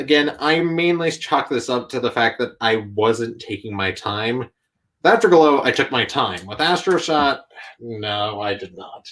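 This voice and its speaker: A man with an ordinary speaking voice, medium in pitch, at a fairly slow pace with lively intonation, on a very clean recording with a silent background. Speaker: YouTube content creator and toy customizer. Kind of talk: casual interview chat. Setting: live stream.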